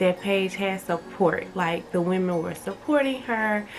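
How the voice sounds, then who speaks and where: This is a woman's voice. Noticeable background noise runs underneath it. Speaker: YouTuber reviewing reality TV. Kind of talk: casual vlog commentary. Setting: at home during renovations. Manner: casual, filler-heavy with many ums.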